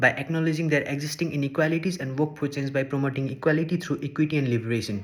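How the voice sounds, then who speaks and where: At a very fast pace, a man with a Nepali accent talks in a fairly high pitch with fairly even intonation. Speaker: social work student. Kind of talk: scripted presentation.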